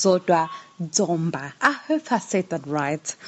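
Through noticeable background noise, a woman's medium-pitched voice comes across with lively intonation. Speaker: podcast co-host. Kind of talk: casual podcast conversation.

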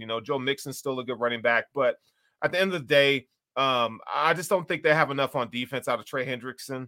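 A man with an American accent talks at a fairly quick pace in a bright, sharp tone, in a very clean recording with a silent background. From US South, Chattanooga, Tennessee. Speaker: sports blogger. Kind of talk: casual chat. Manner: animated.

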